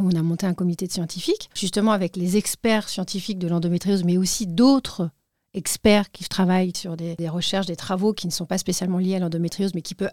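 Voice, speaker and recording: A woman with a plain, everyday voice speaks at a medium pitch with fairly even intonation. The sound is dry and close with no echo, on a very clean recording with a silent background. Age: 40s. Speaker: patient association president. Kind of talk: interview. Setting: studio.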